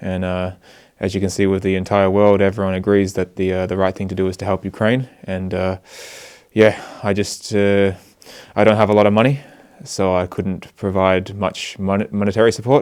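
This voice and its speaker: With an Australian accent, a man of fairly low pitch speaks at a moderate pace in a monotone, flat delivery. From Australia, Sydney. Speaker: volunteer aid worker. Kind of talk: interview. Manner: hesitant, many fillers.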